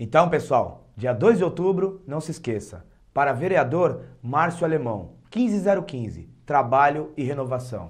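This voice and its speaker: Against a quiet background, a man speaks at a very slow pace and a fairly high pitch, with very wide pitch swings. Vocal fry runs through his voice. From Praia Grande, São Paulo coast, Brazil; São Paulo, Brazil. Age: 30s. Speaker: local political candidate; candidate. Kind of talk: campaign speech. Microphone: lapel.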